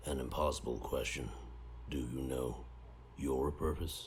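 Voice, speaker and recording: A man's put-on character voice, very deep and low, at a moderate pace with clear background noise. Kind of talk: otherworldly solemn speech. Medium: audio drama. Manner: cryptic, measured, speaks as "we".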